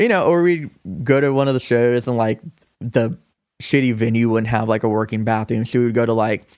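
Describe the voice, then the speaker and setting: A man speaks in a plain, everyday voice at a medium pitch, with fairly even intonation. The recording is very clean, with a silent background. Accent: American. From US South, Augusta, Georgia. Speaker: musician and coffee shop manager. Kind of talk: casual chat.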